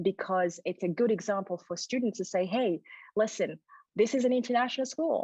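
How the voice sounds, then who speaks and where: A woman speaks at a fairly quick pace in a non-native accent, her fairly high voice somewhat breathy with a dark, mellow tone and ordinary pitch variation. The sound is dry and close, with no echo. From Burundi. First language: not English. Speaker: educator and diversity workshop leader. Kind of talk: interview conversation.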